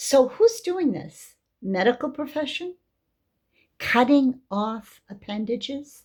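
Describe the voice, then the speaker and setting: A high-pitched woman with an American accent speaks very slowly, her pitch swinging very widely between long, frequent pauses. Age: 70s. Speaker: religious teacher. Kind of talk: religious talk.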